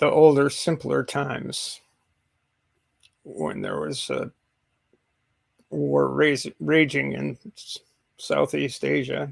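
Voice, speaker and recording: Talking at a very slow pace with an American accent, a man leaves long, frequent pauses, his loudness swinging widely. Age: 60s. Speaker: live streamer. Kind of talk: casual chat. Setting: live stream.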